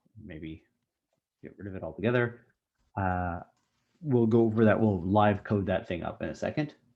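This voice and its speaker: Mumbling at a moderate pace, a man with a fairly low pitch and ordinary pitch variation leaves long, frequent pauses, his loudness swinging widely. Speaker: university instructor. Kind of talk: online lecture with Q&A.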